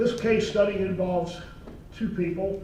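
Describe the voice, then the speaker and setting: Against noticeable background noise and audible room echo, a man talks with ordinary pitch variation. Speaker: lawyer and retired naval officer. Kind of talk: talk at a meeting. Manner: soft-spoken.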